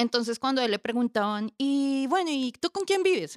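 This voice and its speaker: A woman's high-pitched voice with a Bogotá accent, at a moderate pace, in a dry, close sound with no echo. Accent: Bogotá Colombian Spanish. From Colombia, Bogotá. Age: 30s. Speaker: homemaker and social worker. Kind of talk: casual interview chat.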